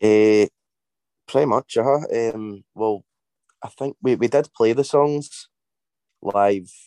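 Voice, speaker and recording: Over a quiet background, with a dry, close sound and no echo, a man speaks with a fairly low pitch, a dark, mellow tone and ordinary pitch variation. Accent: Scottish. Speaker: indie band singer. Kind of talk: casual interview.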